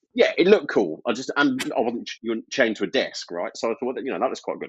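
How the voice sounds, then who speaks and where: A man speaks at a very fast pace. His loudness swings widely. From Birmingham, English Midlands. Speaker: IT service management consultant. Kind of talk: podcast interview. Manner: casual, hesitant with fillers.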